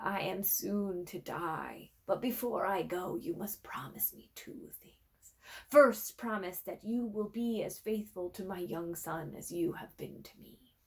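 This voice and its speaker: Using a put-on character voice at a medium pitch, a woman speaks at a fairly slow pace with hardly any pauses, lively intonation and big swings in loudness. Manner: solemn, pleading.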